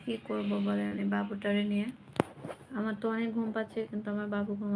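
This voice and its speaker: A woman at a medium pitch, with noticeable background noise. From Bangladesh. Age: 20s. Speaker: vlogger. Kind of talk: casual live chat with viewers. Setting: at home at night with her child.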